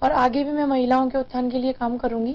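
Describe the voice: A woman speaks at a fast pace in a high pitch. Her intonation stays fairly even.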